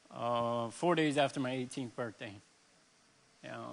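A man's medium-pitched voice moves along at a moderate pace. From central Florida. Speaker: recovering addict. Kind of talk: testimony. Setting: church stage with audience.

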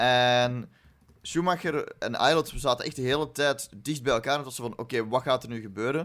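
A man with a Flemish accent talks at a medium pitch and a moderate pace, with ordinary pitch variation. The recording is very clean, the background silent. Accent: Flemish Dutch. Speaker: Formula 1 podcast co-host. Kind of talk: casual chat.

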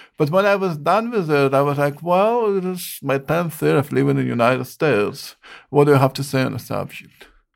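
A man with an Eastern European accent, fairly high-pitched, with lively intonation and a fairly quick pace. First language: not English (Eastern European). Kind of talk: interview, answering questions about poetry.

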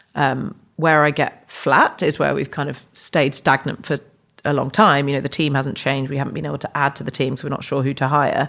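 A woman with an English accent and a very deep, low pitch speaks at a fairly quick pace with fairly even intonation, on a very clean recording with a silent background. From England. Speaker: tech startup founder and CEO. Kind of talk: podcast interview.

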